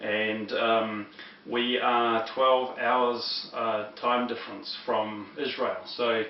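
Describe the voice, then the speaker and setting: The speech is very slow and monotone, with flat intonation and a New Zealand accent. Noticeable background noise and audible room echo are present. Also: man, medium pitch for a man. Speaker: religious teacher. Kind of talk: lecture. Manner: halting, many fillers.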